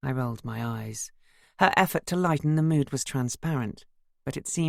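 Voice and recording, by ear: This is reading aloud in a natural voice. The pitch shows ordinary variation.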